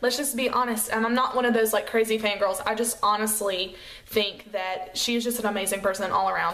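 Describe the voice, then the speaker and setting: Through audible room echo, a woman with an American accent talks at a moderate pace in a fairly high voice. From US South, Chattanooga, Tennessee. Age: 20s. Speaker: beauty vlogger, makeup artist. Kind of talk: casual vlog chat. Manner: casual, lots of fillers.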